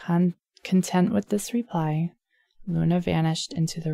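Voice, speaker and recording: Soft-spoken and somewhat breathy, a woman speaks with a gentle, dark, mellow tone at a fairly low pitch. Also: dry, close sound with no echo. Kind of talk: ASMR bedtime story reading. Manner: gentle, soft-spoken, intimate.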